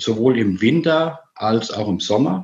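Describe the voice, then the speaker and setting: In an ordinary speaking voice, the speaker uses lively intonation at a fairly slow pace. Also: man. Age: 50s. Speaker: amputee with leg prosthesis. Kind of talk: casual interview.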